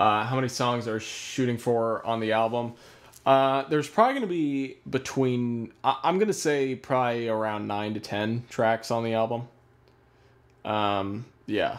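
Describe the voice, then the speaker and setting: Moderate pacing and ordinary pitch variation from a man at a medium pitch. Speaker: musician and producer. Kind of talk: live stream Q&A. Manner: halting, many fillers.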